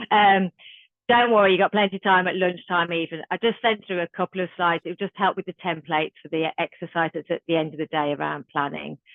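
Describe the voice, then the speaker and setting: With a Birmingham accent, the speaker rattles along at a very fast pace in a fairly even intonation. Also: woman, fairly low pitch for a woman. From Birmingham, England. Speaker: youth violence trainer. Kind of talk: online training workshop. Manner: casual.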